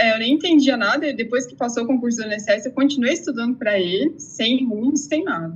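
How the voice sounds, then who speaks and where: Here is an unremarkable speaking voice from a woman, fairly high in pitch. She moves at a fairly quick pace with lively intonation. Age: 30s. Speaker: exam candidate, interviewee. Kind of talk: interview testimony.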